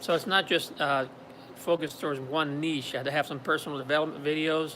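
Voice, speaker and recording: Speaking fairly quickly with a slight French Canadian accent, a man uses a fairly high pitch, a bright, sharp tone and fairly even intonation. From Quebec, Montreal. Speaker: YouTuber. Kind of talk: live stream talk. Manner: halting, many fillers.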